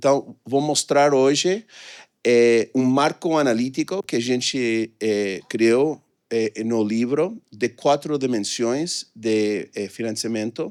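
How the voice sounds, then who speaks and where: The speech comes at a very slow pace with ordinary pitch variation. The recording is very clean, with a silent background. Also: man, medium pitch for a man, dry, close sound with no echo. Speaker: economist presenting research. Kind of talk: conference talk. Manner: halting, many fillers.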